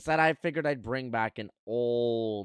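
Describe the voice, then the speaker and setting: A man with a Canadian accent speaks in an unremarkable speaking voice at a medium pitch with ordinary pitch variation. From Canada. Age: 20s. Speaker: podcast host and streamer. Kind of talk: casual chat. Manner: casual.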